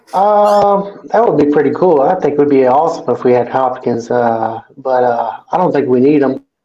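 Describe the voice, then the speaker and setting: Speaking at a moderate pace with an American accent, a man uses a fairly high pitch and lively intonation while his loudness stays very even. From US Midwest, Kansas City. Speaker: sports fan. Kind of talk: casual chat. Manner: halting, many fillers.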